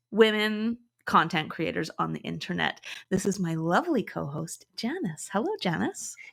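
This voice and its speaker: Bright and sharp in tone, a woman speaks at medium pitch with lively intonation and a moderate pace. The recording is very clean, with a silent background. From Canada. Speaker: podcast host. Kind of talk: casual chat.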